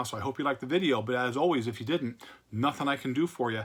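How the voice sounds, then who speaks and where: A man's medium-pitched voice at a very fast pace. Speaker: comic book collector youtuber. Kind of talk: casual video monologue showing comics. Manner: slurring words.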